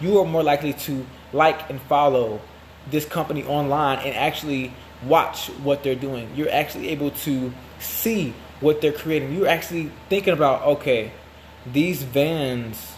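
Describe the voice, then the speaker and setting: Noticeable background noise behind a man with a fairly high pitch and ordinary pitch variation. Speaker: marketing agency founder. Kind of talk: promotional monologue. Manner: fast.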